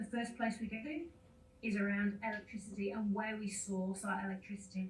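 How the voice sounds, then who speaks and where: Over noticeable background noise and audible room echo, a woman talks at a moderate pace in a fairly high voice. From UK. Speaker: mining company sustainability executive. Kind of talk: conference presentation. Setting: video call from a hotel room.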